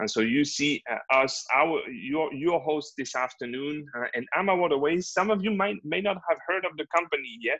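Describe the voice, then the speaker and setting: This man speaks with a French accent at a moderate pace. His fairly high voice has a bright, sharp tone and lively intonation. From France, Normandy. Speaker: river cruise manager and sales representative. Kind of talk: webinar sales presentation. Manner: halting, many fillers.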